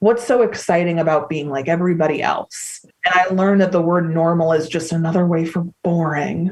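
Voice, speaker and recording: Her pitch sits fairly low. The woman moves along at a fairly quick pace. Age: 30s. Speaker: podcast guest, eating disorder recovery advocate. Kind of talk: casual chat. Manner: animated.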